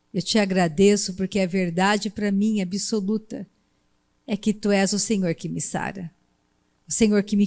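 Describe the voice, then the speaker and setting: With fairly even intonation, a woman talks at a fairly slow pace in a medium pitch and a dark, mellow tone. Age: 60s. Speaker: preacher. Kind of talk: sermon.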